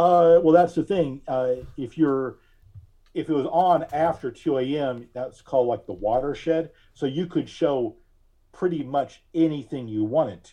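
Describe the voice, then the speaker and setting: A man speaks at a fairly slow pace in a plain, everyday voice. His pitch varies an ordinary amount, while his loudness swings widely. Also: fairly high pitch for a man. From Alabama and Pennsylvania. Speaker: podcast host and digital collage artist. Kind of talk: interview conversation.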